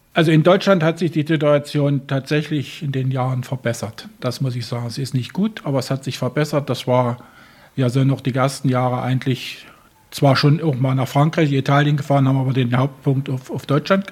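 A man's somewhat breathy voice holds a fairly high pitch with fairly even intonation. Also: moderate pace. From Germany. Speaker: animal welfare volunteer. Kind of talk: interview. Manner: halting, repeats words.

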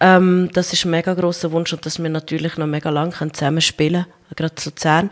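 A very fast pace with hardly any pauses, in a monotone, flat intonation over a quiet background. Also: woman, fairly low pitch for a woman. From central Switzerland, small town (Colombian-born). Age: 30s. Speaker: rugby player and nurse. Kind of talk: interview. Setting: radio studio, live.

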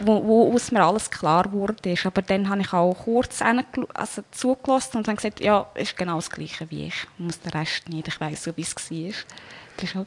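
A woman with an ordinary speaking voice, medium in pitch with ordinary pitch variation, shows big swings in loudness. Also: moderate pace. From Switzerland. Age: 20s. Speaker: near-death experience survivor. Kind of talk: personal testimony interview.

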